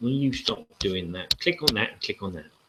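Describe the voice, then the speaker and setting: A man's bright, sharp-toned voice with a southern English accent. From southern England. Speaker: board game channel host. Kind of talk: live-stream casual talk. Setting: live video hangout. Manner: rambling with hesitations.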